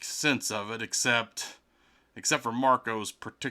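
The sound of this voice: Fairly even intonation in an unforced voice reading a text aloud.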